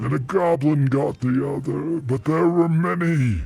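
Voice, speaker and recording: A man performs a put-on character voice. It sits fairly high in pitch. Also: moderate pace. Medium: audio drama. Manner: slow, terse, gruff.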